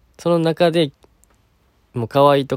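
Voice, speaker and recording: The recording is very clean, with a silent background and a dry, close sound with no echo. A man speaks at a fairly quick pace. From Kansai. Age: 20s. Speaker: podcast host, university student. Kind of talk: casual solo talk, answering listener questions. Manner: relaxed, gentle.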